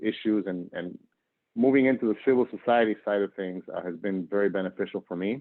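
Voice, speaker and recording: In a normal speaking voice, a man speaks at a moderate pace with a fairly low pitch and fairly even intonation. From northern Argentina, moved to US at 10. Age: 40s. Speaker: nonprofit worker and professor. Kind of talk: interview.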